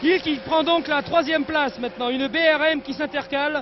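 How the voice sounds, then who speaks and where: Shouting loudly at an extremely high pitch, a man speaks at a fairly slow pace over noticeable background noise. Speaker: motor racing commentator. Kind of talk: live commentary. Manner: loud, near shouting.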